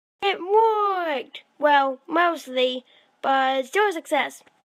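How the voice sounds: A cartoonish character voice, high in pitch, speaks at a very slow pace.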